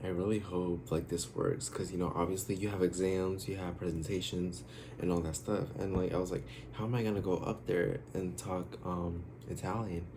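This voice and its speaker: This man's voice sits very deep and low, with a dark, mellow tone and a somewhat breathy quality. He talks at a moderate pace with ordinary pitch variation, and the room echo is audible. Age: 20s. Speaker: YouTuber, college student. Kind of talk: casual vlog Q&A. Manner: hesitant, many fillers.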